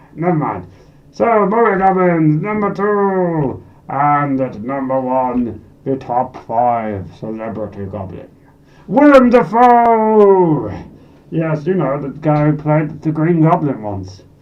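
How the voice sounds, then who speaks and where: A man puts on a character voice, pitched fairly high and swinging very widely up and down. He speaks at a fairly slow pace. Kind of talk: comic character monologue. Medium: solo performance. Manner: rambling, excitable, self-deprecating.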